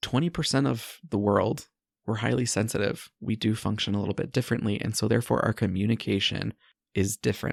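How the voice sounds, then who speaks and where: Vocal fry runs through speech at a fairly quick pace with ordinary pitch variation, in a very clean, silent-background recording with a dry, close sound and no echo. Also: man, fairly low pitch for a man. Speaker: podcast host and life coach. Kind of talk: solo podcast monologue. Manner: sped up in editing.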